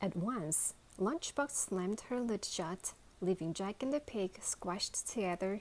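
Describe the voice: Text read aloud plainly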